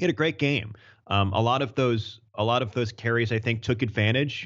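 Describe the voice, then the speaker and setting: An American-accented man with an unremarkable speaking voice talks at a fairly quick pace, fairly low in pitch with ordinary pitch variation. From Maine, US. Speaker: sports play-by-play broadcaster. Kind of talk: casual sports talk interview.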